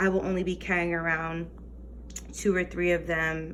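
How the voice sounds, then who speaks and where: There is audible room echo on this woman's voice. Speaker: teacher and budgeting vlogger. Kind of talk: casual tutorial vlog. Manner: hesitant, many fillers; whispering.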